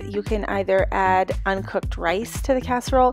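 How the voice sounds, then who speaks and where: Faint music plays behind a woman's voice, recorded dry with no echo. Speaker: home cooking vlogger. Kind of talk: casual vlog chat tutorial. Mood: cheerful, upbeat. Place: kitchen.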